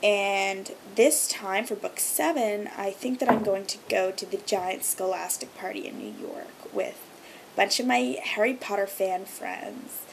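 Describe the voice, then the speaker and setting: Through noticeable background noise, a woman speaks at a fairly slow pace and medium pitch. Her intonation is lively, with big swings in loudness. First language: Hebrew. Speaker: video blogger. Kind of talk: casual vlog monologue. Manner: many filler ums.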